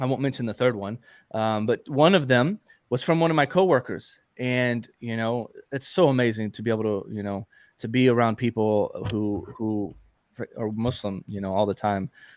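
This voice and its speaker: A man with an American accent and a normal speaking voice talks at medium pitch and a moderate pace with ordinary pitch variation, recorded dry and close with no echo. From Texas. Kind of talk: casual live Q&A chat.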